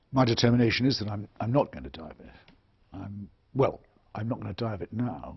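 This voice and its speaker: A man speaks at a fairly quick pace with a fairly low pitch, vocal fry, and lively intonation. His loudness swings widely, broken by long, frequent pauses. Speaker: author and public intellectual. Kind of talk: interview answer. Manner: soft-spoken, honest, direct.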